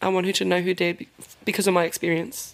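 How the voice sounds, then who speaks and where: A woman's medium-pitched voice at a very fast pace, in a monotone, flat intonation. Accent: New Zealand. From New Zealand, Te Puke. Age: 20s. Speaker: daughter of a missing woman. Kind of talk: interview.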